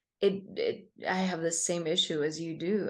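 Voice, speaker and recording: In a Spanish accent, a woman with a fairly low pitch speaks at a fairly slow pace with fairly even intonation against a quiet background. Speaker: meditation teacher. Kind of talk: interview. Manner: halting.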